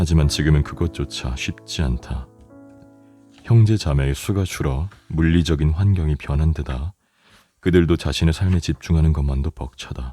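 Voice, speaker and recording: Over music in the background, a soft-spoken man with a very deep, low voice talks at a moderate pace with ordinary pitch variation. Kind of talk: audiobook reading for sleep. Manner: soft, calm.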